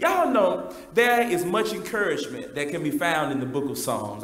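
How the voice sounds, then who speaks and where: Speaking at a fairly quick pace with hardly any pauses, a man swings his pitch very widely as audible room echo surrounds him. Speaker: preacher. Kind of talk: sermon. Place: church.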